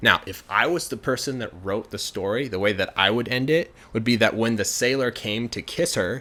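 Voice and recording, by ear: This is reading aloud in a natural voice. The delivery stays that way throughout.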